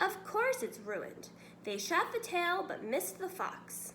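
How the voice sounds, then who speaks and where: A woman puts on a character voice and speaks at a fairly slow pace. Clear background noise can be heard. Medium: read story. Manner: bossy, impatient.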